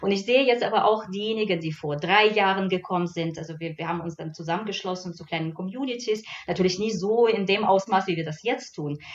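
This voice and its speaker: A woman of medium pitch talks at a very fast pace with hardly any pauses, her loudness swinging widely while her pitch varies in an ordinary way. Background noise is noticeable. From Belarus. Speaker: cultural scientist. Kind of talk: radio panel discussion. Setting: radio studio. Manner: halting.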